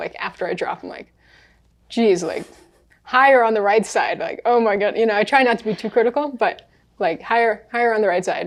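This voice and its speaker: A woman talks fairly quickly with an American accent and a fairly high pitch. The background is quiet. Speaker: professional juggler. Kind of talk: podcast interview. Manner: animated.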